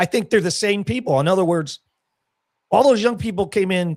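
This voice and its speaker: With an American accent, a man talks at a moderate pace and with lively intonation on a very clean recording with a silent background. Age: 60s. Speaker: crypto entrepreneur and army veteran. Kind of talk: casual chat.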